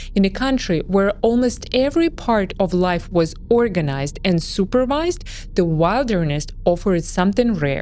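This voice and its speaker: With a Russian accent, a woman talks with hardly any pauses, very even loudness and very wide pitch swings, over noticeable background noise. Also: medium pitch for a woman, moderate pace. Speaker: history documentary narrator. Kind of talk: scripted narration.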